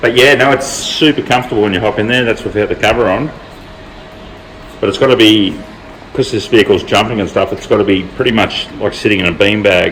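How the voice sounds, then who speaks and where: A man's fairly low voice at a very fast pace, with ordinary pitch variation and music in the background. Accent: Australian. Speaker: vehicle builder and channel host. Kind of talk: casual workshop vlog.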